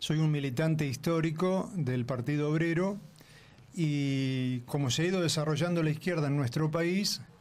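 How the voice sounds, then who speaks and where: With audible room echo, a man speaks at a moderate pace in a Rioplatense accent, his fairly high pitch showing ordinary variation and his loudness very even. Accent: Argentine Rioplatense Spanish. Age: 60s. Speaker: left-wing political activist. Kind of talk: radio interview.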